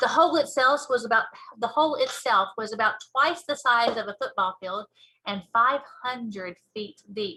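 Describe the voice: Her tone is bright and sharp, with a fairly high pitch for a woman. She keeps a moderate pace and ordinary pitch variation.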